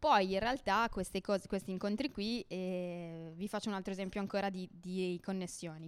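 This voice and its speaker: Against a silent background on a very clean recording, a woman at a medium pitch has an unremarkable speaking voice with ordinary pitch variation. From not from Gorizia. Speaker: community radio host, social cooperative worker. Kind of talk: casual presentation at open-mic event. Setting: bar with audience.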